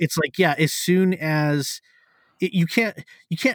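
Recorded very cleanly against a silent background, a man with a fairly high pitch speaks in a plain, everyday voice at a moderate pace. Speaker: podcast host. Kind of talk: casual chat.

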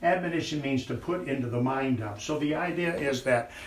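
A medium-pitched man with an American accent and ordinary pitch variation, over noticeable background noise. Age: 70s. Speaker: preacher. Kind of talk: sermon. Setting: church.

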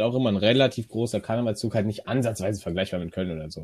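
An ordinary speaking voice from a man at medium pitch, with ordinary pitch variation, on a very clean recording with a silent background. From Rhineland, near Cologne. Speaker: podcast co-host. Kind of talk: casual chat.

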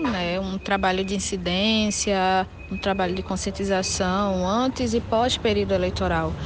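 A woman talks fairly slowly at a medium pitch. Noticeable background noise runs behind her. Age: 20s. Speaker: activist and researcher. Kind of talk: interview. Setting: video call.

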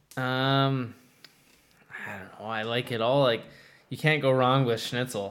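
A man with an American accent speaks at a fairly slow pace, medium in pitch and fairly even in intonation, with long, frequent pauses. His loudness swings widely, and there is noticeable background noise. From Minnesota, US Midwest. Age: 20s. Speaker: ice hockey goaltender. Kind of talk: interview.

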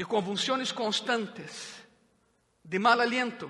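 A raised, projected voice moves at a very slow pace. Room echo can be heard. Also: man. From Brazil, Minas Gerais (Juiz de Fora). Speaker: pastor. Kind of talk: sermon. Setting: church with congregation.

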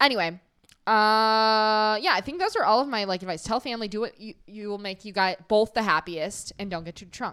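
A woman's fairly high, bright and sharp voice at a fairly quick pace, with ordinary pitch variation and big swings in loudness. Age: 20s. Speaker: podcast co-host. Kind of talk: casual chat.

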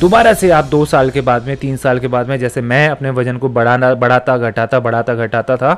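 Music sits in the background while a man, at a moderate pace, speaks with ordinary pitch variation. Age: 30s. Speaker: fitness coach. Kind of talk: motivational podcast monologue.

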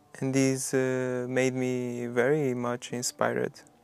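With a Portuguese accent, a medium-pitched man speaks fairly slowly in a flat monotone. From Portugal. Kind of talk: personal narration in documentary.

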